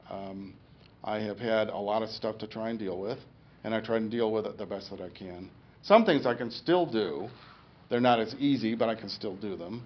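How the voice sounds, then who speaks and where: A man with a medium pitch and ordinary pitch variation speaks at a moderate pace, his loudness swinging widely amid audible room echo. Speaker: stroke survivor giving a talk. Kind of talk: public talk. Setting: lecture room with audience. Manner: halting speech after stroke.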